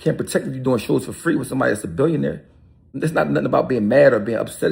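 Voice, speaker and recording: Talking at a very fast pace, a man with a medium pitch uses vocal fry. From Philadelphia, North Philly. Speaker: rapper. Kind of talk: video interview rant. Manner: animated.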